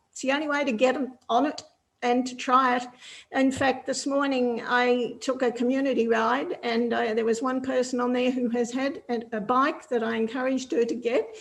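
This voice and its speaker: A high-pitched woman keeps her intonation fairly even while talking at a moderate pace. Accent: Australian. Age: 70s. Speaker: cycling advocate. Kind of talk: panel Q&A answer.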